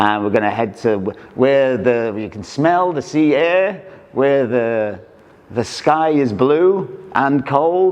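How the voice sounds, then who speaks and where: Over noticeable background noise, a man talks at a very slow pace with very wide pitch swings. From Wales, small town. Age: 60s. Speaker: printer and artist, motorbike owner. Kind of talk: casual interview. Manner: halting, with many restarts.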